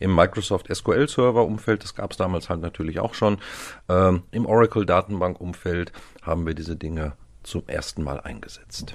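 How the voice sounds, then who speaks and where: The speaker keeps a moderate pace with ordinary pitch variation. The loudness swings widely. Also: man, very deep, low pitch for a man. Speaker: IT systems consultant team lead. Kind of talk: casual chat.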